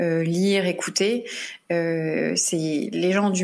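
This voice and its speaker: Fairly even intonation runs through this clip, spoken in an unremarkable speaking voice. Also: woman. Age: 30s. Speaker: true crime podcast host. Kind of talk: casual chat; scripted narration.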